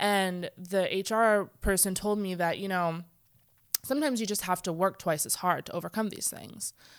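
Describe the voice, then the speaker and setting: A woman with an ordinary speaking voice, medium in pitch with ordinary pitch variation, at a moderate pace on a very clean recording with a silent background. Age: 30s. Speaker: guest, mom and worker. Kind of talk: casual conversation.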